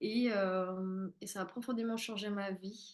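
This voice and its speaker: Her intonation fairly even, the woman talks very slowly. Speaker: spiritual therapist and medium. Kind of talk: live-streamed masterclass. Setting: live stream.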